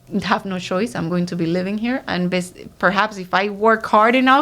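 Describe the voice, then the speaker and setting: A woman with a Spanish accent talks at a moderate pace and medium pitch, with ordinary pitch variation. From Dominican Republic, San Pedro de Macorís. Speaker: writer and community figure. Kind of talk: interview. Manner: hesitant with fillers.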